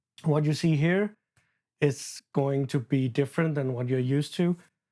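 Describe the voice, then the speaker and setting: Someone with a non-native accent speaks at a fairly slow pace in a very clean recording with a silent background. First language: not English. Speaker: booktuber and horror novelist. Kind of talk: casual unscripted book chat vlog. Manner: halting, stumbles over words.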